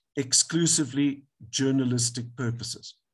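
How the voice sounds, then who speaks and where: A man's somewhat breathy voice sits at a medium pitch, moving at a fairly slow pace with ordinary pitch variation. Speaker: advocate, legal speaker. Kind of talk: webinar lecture.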